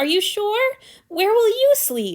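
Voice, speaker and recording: In a squeaky, put-on character voice, a woman speaks at an extremely high pitch with very wide pitch swings. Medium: read story. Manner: whiny.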